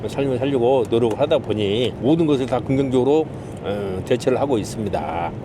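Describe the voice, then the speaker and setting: A man with a Jeolla accent at a moderate pace, amid noticeable background noise. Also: medium pitch for a man, ordinary pitch variation. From Jeolla, South Korea. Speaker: taxi driver. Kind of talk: interview. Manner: formal.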